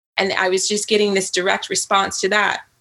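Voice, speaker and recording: A woman speaks at a fairly quick pace with an American accent. Her tone is bright and sharp. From US, Virginia. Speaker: writer and author. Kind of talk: interview.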